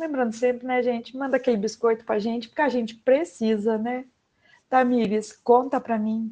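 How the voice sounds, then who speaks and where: Speaking at a fairly quick pace, a woman has a fairly high pitch and a dark, mellow tone. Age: 30s. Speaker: podcast host, parental educator. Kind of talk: casual chat. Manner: animated.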